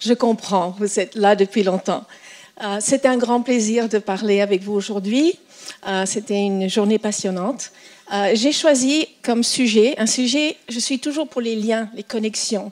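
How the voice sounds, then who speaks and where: A woman with a fairly high pitch talks at a fairly slow pace over noticeable background noise. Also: ordinary pitch variation. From French schooling in Asia and US. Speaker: mathematics educator. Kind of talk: conference talk. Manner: halting, many fillers.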